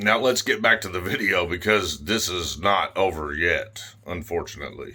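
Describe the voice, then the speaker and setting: Over background music, a loud man talks at a moderate pace with very wide pitch swings. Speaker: YouTuber filming police interactions. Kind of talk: confrontational on-camera exchange.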